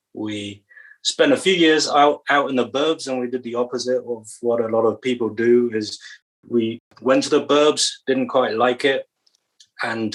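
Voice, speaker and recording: A man with a British accent speaks at a medium pitch and moderate pace, with ordinary pitch variation. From England. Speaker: church stewardship director. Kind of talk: podcast interview.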